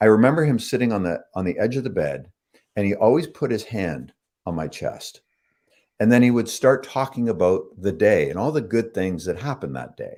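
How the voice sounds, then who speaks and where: With a Canadian accent, a man talks fairly quickly in a dark, mellow tone with vocal fry and lively intonation. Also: medium pitch for a man. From Canada, Toronto. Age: 60s. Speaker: author. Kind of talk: interview. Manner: halting.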